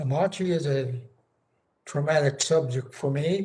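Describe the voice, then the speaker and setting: A man speaks at a very slow pace in a fairly high pitch, his voice somewhat breathy with a dark, mellow tone. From Northern California. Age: 90s. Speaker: war veteran and retired educator. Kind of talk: congressional testimony. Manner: formal.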